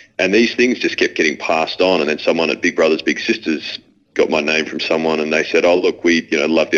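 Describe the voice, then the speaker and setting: Talking very fast, a man speaks in an Australian accent. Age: 30s. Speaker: former AFL footballer. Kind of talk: casual interview conversation. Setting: phone call from London.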